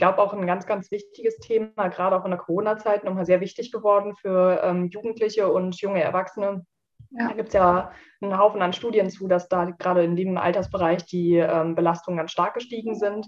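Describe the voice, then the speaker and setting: A woman talks at a fairly quick pace in a medium pitch. Her intonation is monotone and flat, while her loudness swings widely. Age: 20s. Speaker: social worker and seminar trainer. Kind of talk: casual interview.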